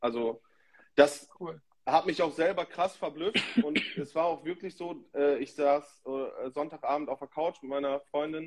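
Fairly even intonation and a moderate pace mark what is an ordinary speaking voice. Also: man. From northern Germany, Emsland (Lower Saxony) near Dutch border. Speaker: DJ. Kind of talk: casual chat.

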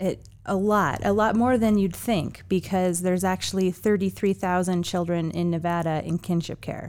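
A normal speaking voice from a woman, at medium pitch with fairly even intonation. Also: fairly slow pace. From Chicago, US Midwest. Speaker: nonprofit founder and executive director. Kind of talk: interview.

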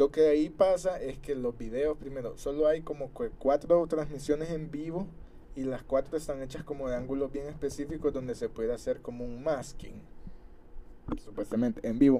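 A man's fairly high-pitched, dark and mellow voice in a Salvadoran accent, at a moderate pace with ordinary pitch variation. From El Salvador, San Miguel. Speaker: podcast co-host. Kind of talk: casual chat. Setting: studio.

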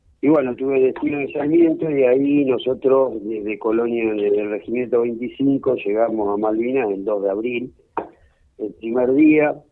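The pace is fairly slow, with ordinary pitch variation. It is a normal speaking voice. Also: man, medium pitch for a man. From Argentina, Córdoba province. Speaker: war veteran and pediatrician. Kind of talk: interview.

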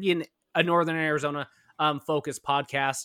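A man's bright, sharp voice on a very clean recording with a silent background. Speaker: sports podcast host. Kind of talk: casual chat. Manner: animated.

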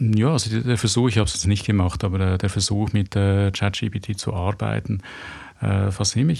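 A man with a fairly low pitch talks at a moderate pace in a somewhat breathy voice with ordinary pitch variation. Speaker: graphic novel author and architect. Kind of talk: interview conversation. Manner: halting, searching for words.

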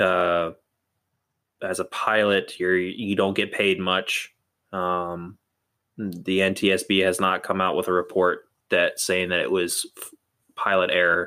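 A man with an American accent and very deep, low pitch, bright, sharp tone, monotone, flat intonation, fairly slow pace and long, frequent pauses, on a very clean recording with a silent background. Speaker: podcast co-host. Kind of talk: casual chat.

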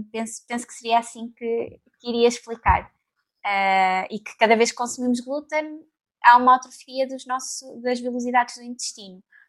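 A woman's high-pitched voice moves at a moderate pace with fairly even intonation and big swings in loudness. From Portugal, Leiria area. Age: 20s. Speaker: nutritionist. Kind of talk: casual chat.

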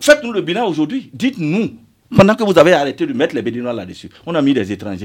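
Speaking at a fairly quick pace, a man with a fairly high pitch and vocal fry swings very widely up and down in pitch. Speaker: member of parliament. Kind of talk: radio interview. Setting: radio studio.

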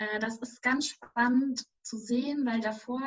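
A woman with a fairly high voice talks at a very slow pace. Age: 20s. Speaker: doctoral researcher and policy consultant. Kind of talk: interview.

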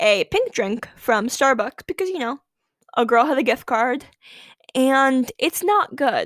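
A woman with a high pitch speaks in an animated tone at a fairly slow pace. The sound is dry and close, with no echo. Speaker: podcast host. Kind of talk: casual solo podcast monologue. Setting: home podcast setup with microphone. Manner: chatty, animated, laughs often.

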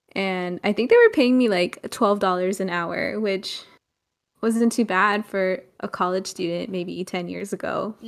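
Using a normal speaking voice, a woman talks at a fairly slow pace with medium pitch and fairly even intonation. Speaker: podcast co-host. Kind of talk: casual chat.

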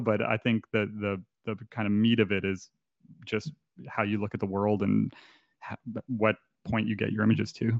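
A man with a Canadian accent, a fairly low pitch and a moderate pace. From Canada. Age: 30s. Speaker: photographer. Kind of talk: casual chat.

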